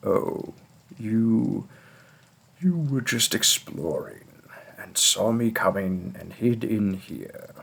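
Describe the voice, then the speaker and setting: Long, frequent pauses break up a put-on character voice moving at a very slow pace. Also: man, medium pitch for a man. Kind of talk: role play audio addressed to the listener. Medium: audio drama.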